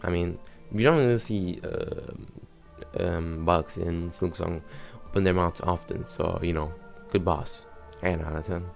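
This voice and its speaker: Over music in the background, someone with a non-native accent mumbles at a fairly slow pace, leaving long, frequent pauses, with ordinary pitch variation. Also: man, very deep, low pitch for a man. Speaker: gaming YouTuber. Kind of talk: casual gaming commentary. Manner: mumbling.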